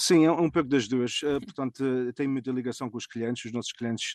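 Over a quiet background, a man with a medium pitch talks fairly quickly in a dry, close sound with no echo. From Azores, raised mainly in US (Fall River, Massachusetts) from age 10. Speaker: family food import business owner. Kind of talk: interview. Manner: halting.

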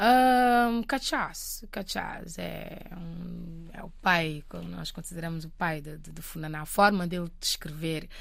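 A woman speaking at a very slow pace, with big swings in loudness and audible room echo. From Cape Verde. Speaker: singer-songwriter. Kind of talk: interview. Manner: halting.

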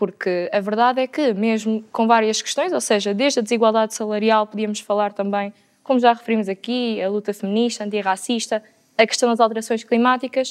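This woman has a plain, everyday voice, talking at a fairly quick pace in a fairly high pitch with fairly even intonation. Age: 20s. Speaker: student and interpreter. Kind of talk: panel debate.

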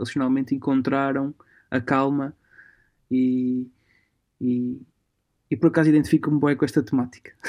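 Pausing long and often, a man speaks at a moderate pace in a medium pitch with a dark, mellow tone and a monotone, flat intonation. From Portugal. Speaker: musician and music promoter. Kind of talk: casual chat. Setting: remote call from home. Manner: halting.

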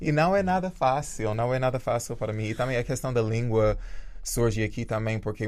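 A man speaks at a moderate pace. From rural Jamaica. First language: English (speaking Portuguese). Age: 30s. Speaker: dancer and choreographer. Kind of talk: interview.

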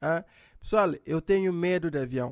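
A man's lively intonation in a dry, close sound with no echo, on a very clean recording with a silent background. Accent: Cape Verdean. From Cape Verde. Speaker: comedian. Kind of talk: comedic monologue.

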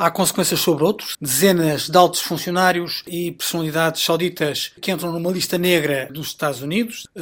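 Using a high pitch, a man talks at a fairly quick pace with fairly even intonation and hardly any pauses. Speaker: political commentator. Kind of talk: radio panel discussion. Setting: remote, each in own place.

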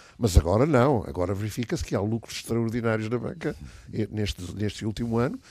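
On a very clean recording with a silent background, a man speaks in a dark, mellow tone at a medium pitch. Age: 70s. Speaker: business association leader. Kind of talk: radio panel discussion.

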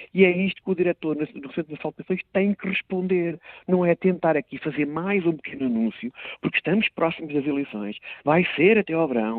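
His intonation is lively. This man speaks with a high pitch. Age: 50s. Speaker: member of parliament, political commentator. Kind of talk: political commentary.

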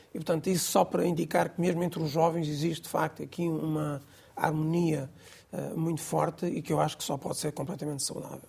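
The voice is dark and mellow, with vocal fry. It moves at a fairly quick pace with fairly even intonation. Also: woman, very deep, low pitch for a woman. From Mozambique. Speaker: Islamic community leader. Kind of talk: interview discussion.

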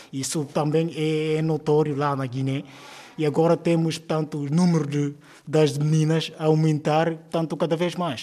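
Fairly high-pitched for a man, his dark, mellow voice moves at a fairly slow pace in a monotone, flat intonation. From Guinea-Bissau, Cacheu region. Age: 30s. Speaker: primary school teacher. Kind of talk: interview. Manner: hesitant, many fillers.

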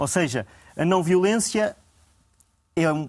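A man speaks with lively intonation. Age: young. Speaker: historian. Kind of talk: panel discussion. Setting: TV studio. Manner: formal.

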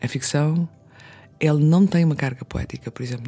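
The voice is a woman's, dark and mellow. It carries some breathiness. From Azores (São Miguel / Pico). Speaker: novelist. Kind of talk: casual interview. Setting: radio studio.

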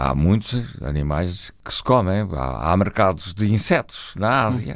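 In a very clean recording with a silent background, a man talks at a fairly slow pace with vocal fry, a fairly low pitch and very wide pitch swings. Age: 80s+. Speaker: botanist and retired professor. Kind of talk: radio interview.

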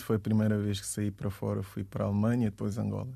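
This man's voice sits fairly low, with a dark, mellow tone and fairly even intonation. The background is quiet. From Guinea-Bissau, moved to Portugal at 12. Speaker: DJ and music producer. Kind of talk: radio interview.

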